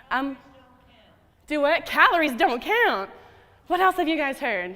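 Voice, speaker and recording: With an American accent, a woman uses a raised, projected voice, high in pitch, with very wide pitch swings at a fairly slow pace. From US South. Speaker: dietitian. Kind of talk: conference talk. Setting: stage with audience. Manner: animated.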